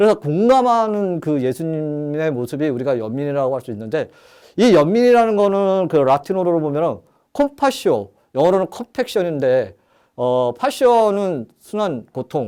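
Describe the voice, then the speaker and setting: The recording is very clean, with a silent background. A man with a dark, mellow tone and fairly high pitch swings very widely in pitch. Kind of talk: lecture. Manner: fast.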